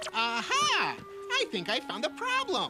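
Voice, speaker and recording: A cartoonish character voice moves along at a moderate pace. Background noise is clearly audible. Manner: cheerful announcer-like.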